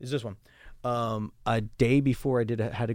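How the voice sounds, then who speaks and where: A man speaks at a medium pitch and a moderate pace in an ordinary speaking voice. His intonation is fairly even. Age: 30s. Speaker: adult performer. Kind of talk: casual chat.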